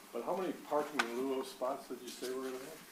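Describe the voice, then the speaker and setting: Over noticeable background noise and audible room echo, a man with an American accent talks at a medium pitch with fairly even intonation. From Rochester, Michigan. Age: 80s+. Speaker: resident making public comment. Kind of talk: public comment. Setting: council chamber podium. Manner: halting.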